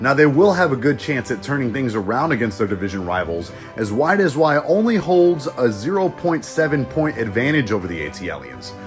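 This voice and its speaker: With music in the background, a man speaks fairly quickly at a medium pitch, with hardly any pauses. His pitch swings very widely. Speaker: aspiring sportscaster. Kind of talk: sports highlights broadcast voice-over.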